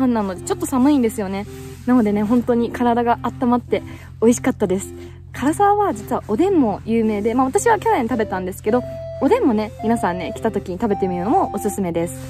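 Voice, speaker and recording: A woman at a fairly quick pace, the sound dry with no echo and clear music in the background. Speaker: hiking vlogger. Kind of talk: casual vlog chat. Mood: cheerful, laughing. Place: open country. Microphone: phone near.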